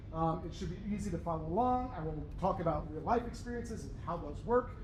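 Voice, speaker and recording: A man speaks at a very fast pace with lively intonation. The room echo is audible. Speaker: university professor. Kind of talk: lecture. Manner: animated.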